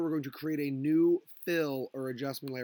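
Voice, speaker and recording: Fairly high-pitched male speech at a moderate pace with fairly even intonation, dry and close with no echo. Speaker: high school graphic design teacher. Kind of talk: tutorial. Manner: casual, filler words.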